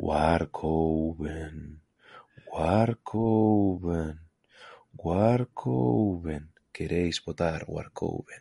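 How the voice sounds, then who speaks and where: The speech crawls along at a very slow pace. The voice is a put-on character voice. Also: man, very deep, low pitch for a man. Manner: hypnotic, persuasive.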